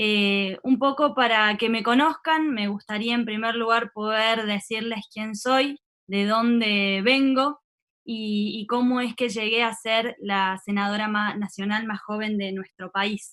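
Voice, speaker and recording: Bright and sharp in tone, a woman speaks at a very slow pace and a fairly high pitch. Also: fairly even intonation. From Argentina, San Luis province. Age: 30s. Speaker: politician. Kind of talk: webinar talk.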